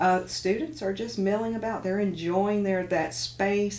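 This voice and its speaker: A woman talks at a moderate pace over noticeable background noise. Audible room echo surrounds her voice. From Tennessee. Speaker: university president. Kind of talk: radio interview. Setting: radio studio. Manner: halting, repeats words.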